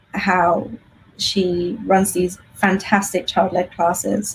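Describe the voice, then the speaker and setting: Speaking very slowly with an English accent, a woman has a medium pitch and vocal fry. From England. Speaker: homeschool teacher. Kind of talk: interview.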